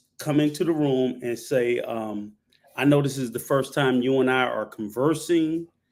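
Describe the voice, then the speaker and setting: On a very clean recording with a silent background, a man with an unremarkable speaking voice talks at a fairly slow pace, in a medium pitch with ordinary pitch variation. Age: 60s. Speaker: panel guest, traveler. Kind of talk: live panel discussion. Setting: live stream panel.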